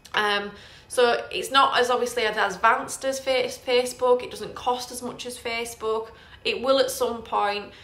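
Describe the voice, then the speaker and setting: Her voice is high and bright, with a sharp tone, as a woman speaks amid audible room echo. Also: fairly even intonation, moderate pace. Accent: northern English. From northern England. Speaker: property investor and trainer. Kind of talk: live Q&A tutorial. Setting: Facebook live stream. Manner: casual, hesitant with fillers.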